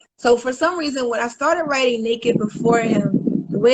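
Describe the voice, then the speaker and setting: At a fairly quick pace, a woman speaks in a normal speaking voice with a fairly high pitch and ordinary pitch variation. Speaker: spoken word poet. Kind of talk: casual interview chat. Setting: live video stream.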